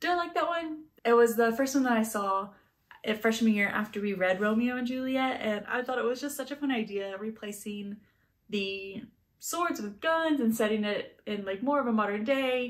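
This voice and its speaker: A woman speaks at a fairly high pitch. Her pitch variation is ordinary. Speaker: book reviewer. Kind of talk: book review monologue. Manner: fast; animated.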